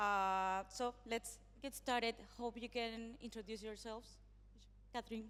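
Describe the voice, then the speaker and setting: Speaking with a non-native accent, the voice moves at a fairly slow pace with long, frequent pauses. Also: woman. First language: not English. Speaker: panel moderator, web3 strategy advisor. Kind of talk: panel moderation. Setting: stage at conference.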